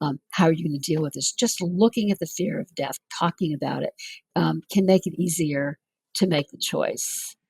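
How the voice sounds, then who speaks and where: Some breathiness runs through the voice. Pitch moves up and down in an ordinary way. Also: woman, fairly low pitch for a woman, moderate pace, dry, close sound with no echo. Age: 70s. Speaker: clinical social worker and parent decision coach. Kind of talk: interview.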